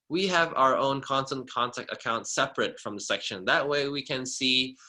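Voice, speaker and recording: Against a quiet background, a man speaks in a bright, sharp tone with fairly even intonation. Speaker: subsection officer giving a training. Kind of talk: webinar tutorial; tutorial. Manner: fast; hesitant, many fillers.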